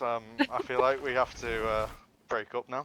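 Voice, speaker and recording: A man talks at a fairly quick pace in a northwest English accent. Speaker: gamer on a livestream. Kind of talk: casual chat. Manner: animated.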